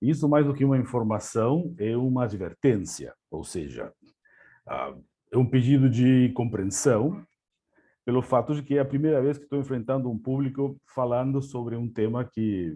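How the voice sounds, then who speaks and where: In an Argentine accent, a dark, mellow tone comes at a moderate pace with ordinary pitch variation over a quiet background. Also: man, medium pitch for a man. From Argentina. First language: Spanish (speaking Portuguese). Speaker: language services executive. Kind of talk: webinar presentation. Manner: hesitant, many fillers.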